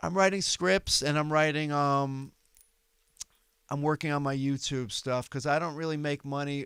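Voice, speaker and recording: Delivered at a moderate pace, the speech has a New York accent and fairly even intonation. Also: man, fairly high pitch for a man. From New York City, Manhattan. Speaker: comedian. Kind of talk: casual chat.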